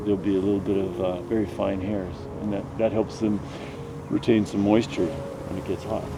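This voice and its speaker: A man speaks at a fairly quick pace in a fairly low voice, with noticeable background noise. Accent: Canadian Prairie. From Canadian Prairies. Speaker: nature guide. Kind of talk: casual explanation. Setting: outdoors, prairie grassland.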